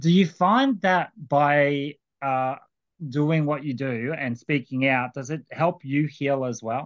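Someone with an Australian accent speaks at a very slow pace with ordinary pitch variation. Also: man, fairly high pitch for a man. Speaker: podcast host. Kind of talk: casual chat; news commentary.

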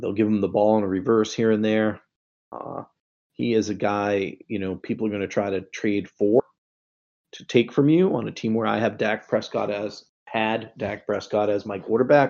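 This man has a Boston accent and a fairly low pitch. He talks at a moderate pace with fairly even intonation. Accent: Boston accent, noticeable. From Boston area, US. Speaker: fantasy football writer. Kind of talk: Q&A on a live fantasy football show. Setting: online voice chat. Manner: casual, many fillers and repeated words.

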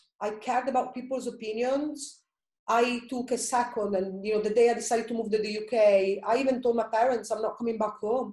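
Here a woman has a dark, mellow tone. She speaks fairly quickly with fairly even intonation. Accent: Italian. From Italy. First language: Italian. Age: 30s. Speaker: personal trainer and blogger. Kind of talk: casual interview, personal story.

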